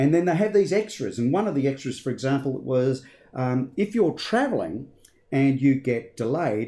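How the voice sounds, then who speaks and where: With an Australian accent, a man with a fairly high pitch and a dark, mellow tone speaks with lively intonation. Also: moderate pace. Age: 50s. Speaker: finance commentator. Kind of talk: casual discussion.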